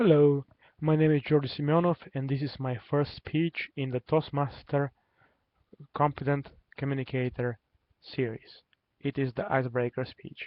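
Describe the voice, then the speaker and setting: A man with a Bulgarian accent speaks at a fairly high pitch with fairly even intonation and long, frequent pauses. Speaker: public speaking club member. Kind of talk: prepared speech. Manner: deliberately slowed pace.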